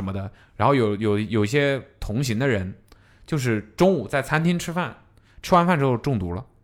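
A man speaks at a moderate pace with lively intonation. He has an ordinary speaking voice. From southern China. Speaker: podcast host. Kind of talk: casual chat.

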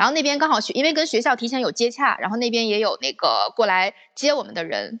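A woman's fairly high voice with very wide pitch swings at a very fast pace, against noticeable background noise. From Northeast China, Panjin. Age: 30s. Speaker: former expat recounting life abroad. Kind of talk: casual chat.

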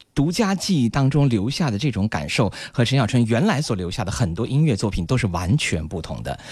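A man's medium-pitched voice with vocal fry and very wide pitch swings, moving at a fairly quick pace with hardly any pauses. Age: 30s. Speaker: radio host. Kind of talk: radio music show presenting.

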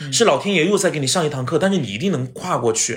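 The man's pitch moves through very wide swings. His tone is animated. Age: 30s. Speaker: TV host and actor. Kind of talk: casual chat. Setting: at his home.

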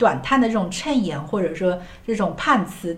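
A woman of medium pitch talks at a fairly quick pace with lively intonation, with noticeable background noise and audible room echo. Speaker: podcast host. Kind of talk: casual chat about TV shows.

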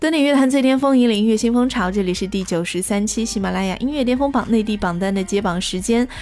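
Speaking very fast with hardly any pauses, a woman uses a fairly high pitch and ordinary pitch variation. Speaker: radio host. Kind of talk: music chart show presenting.

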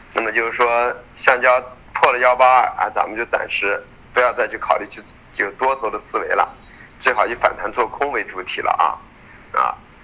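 There is noticeable background noise in this clip. Through it, a man speaks at a moderate pace. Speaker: futures market analyst. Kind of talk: market commentary. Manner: many filler particles.

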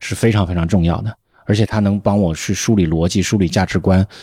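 A dark, mellow tone at a very fast pace, with ordinary pitch variation and a dry, close sound with no echo on a very clean recording with a silent background. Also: man. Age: 40s. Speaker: podcast host, veteran journalist. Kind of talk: casual chat.

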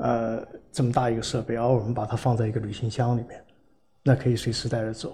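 A man talks at a very fast pace and medium pitch with monotone, flat intonation. His voice is somewhat breathy, with a dark, mellow tone. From Guangzhou, China. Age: 60s. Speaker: hardware entrepreneur, engineer. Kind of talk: casual interview.

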